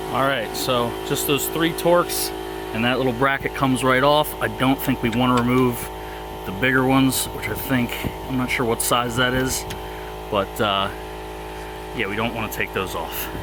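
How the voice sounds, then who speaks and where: Noticeable background noise runs beneath a man's voice. He keeps a moderate pace but leaves long, frequent pauses. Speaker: amateur car DIYer. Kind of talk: DIY tutorial narration. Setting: outdoors. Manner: heavy breathing.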